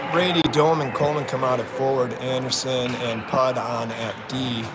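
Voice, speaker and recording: A man speaks with fairly even intonation. Noticeable background noise and audible room echo fill the recording. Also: medium pitch for a man, moderate pace. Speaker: hockey play-by-play announcer. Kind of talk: live commentary. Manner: quiet, soft.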